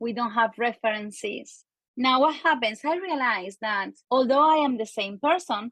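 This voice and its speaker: The background is quiet as a woman speaks at a fairly slow pace. Her pitch is high, with ordinary variation. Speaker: marketing and copywriting expert. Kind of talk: interview. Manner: animated.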